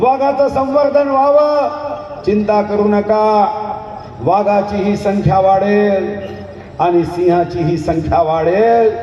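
Over noticeable background noise, a man speaks at a high pitch with lively intonation and very even loudness. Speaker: politician, state forest minister and party candidate. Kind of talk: election rally speech.

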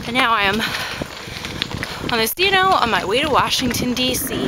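Loud background noise surrounds a woman speaking at a fairly quick pace, with a dry sound and no echo. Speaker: cycling vlogger. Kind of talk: casual vlog chat. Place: bicycle. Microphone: phone near.

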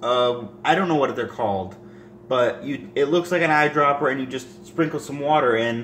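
Here a man speaks at a medium pitch and moderate pace with a fairly bright tone. His pitch varies in an ordinary way, and audible room echo surrounds him.

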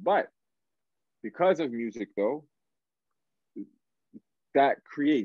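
Delivered at a fairly slow pace with ordinary pitch variation, the speech has a dry, close sound with no echo. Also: man.

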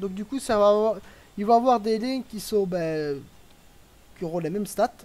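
This man speaks at a high pitch, with ordinary pitch variation. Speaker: live streamer and match commentator. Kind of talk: live sports-style commentary on a strategy game match. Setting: live stream. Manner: chatty, with filler words and hesitations.

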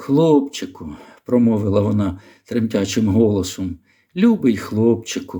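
Putting on a character voice, a man speaks shakily at a medium pitch and a moderate pace. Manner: tender, emotional.

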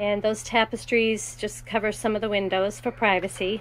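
Against light background noise, a woman talks at a fairly slow pace with monotone, flat intonation. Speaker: seller showing her camper bus. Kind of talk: casual tour walkthrough. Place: bus. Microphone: phone near.

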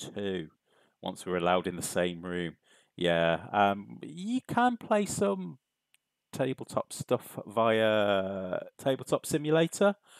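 Against a quiet background, a man with a British accent and a fairly low pitch talks in a relaxed tone with lively intonation, the sound dry and free of echo. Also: big swings in loudness. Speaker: stream host. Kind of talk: casual, chatty. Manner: relaxed, chilled. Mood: upbeat, friendly. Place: home room.

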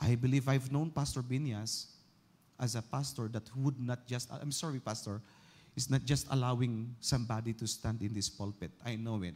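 A man with a medium-pitched voice sounds somewhat breathy. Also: ordinary pitch variation, moderate pace. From Philippines. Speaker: pastor. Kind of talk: sermon. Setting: church. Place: church. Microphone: handheld.

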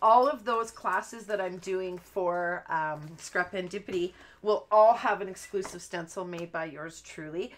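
A woman talks at a fairly slow pace with ordinary pitch variation. Light background noise is present. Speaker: craft host. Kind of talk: live stream craft chat. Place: home room.

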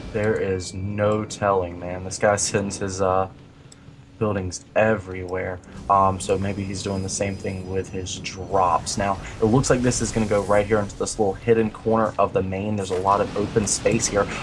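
A man's fairly low, monotone voice with flat intonation at a moderate pace, with noticeable background noise. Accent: American. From US South. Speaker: esports caster. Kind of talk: live commentary.

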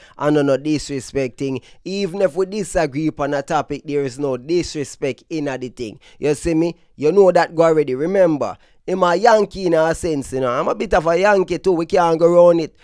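A man talks at a fairly quick pace with a fairly high pitch. His pitch varies in an ordinary way, and the sound is dry and close with no echo. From Brooklyn, New York. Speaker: dancehall news commentator. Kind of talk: casual commentary video. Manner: casual, slangy.

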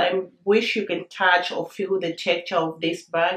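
A woman at a fairly slow pace with ordinary pitch variation and audible room echo. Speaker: lifestyle YouTuber. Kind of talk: product unboxing and review video. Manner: animated, excitable. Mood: cheerful, enthusiastic. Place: home room.

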